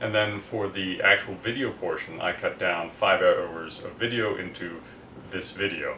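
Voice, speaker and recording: There is audible room echo and noticeable background noise. A man talks at a fairly slow pace. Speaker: DIY car restoration youtuber. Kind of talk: casual video narration. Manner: loud.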